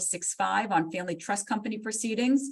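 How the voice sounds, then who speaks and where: This woman talks at a fairly quick pace in a medium pitch, her voice somewhat breathy. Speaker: court clerk staff presenter. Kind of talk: legal education webinar presentation. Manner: fast; animated.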